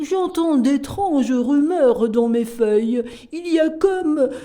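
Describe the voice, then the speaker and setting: A put-on character voice in a high pitch speaks at a fairly slow pace. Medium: read story. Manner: courteous, gentle.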